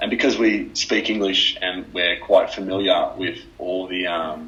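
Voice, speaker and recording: A man talks at a fairly slow pace while noticeable background noise carries on. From Australia. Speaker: former basketball player. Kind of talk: podcast interview.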